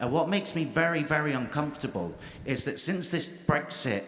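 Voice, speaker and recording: Ordinary pitch variation from a man, with noticeable background noise and audible room echo. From England, Irish family. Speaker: audience member asking a question. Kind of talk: audience question at panel debate.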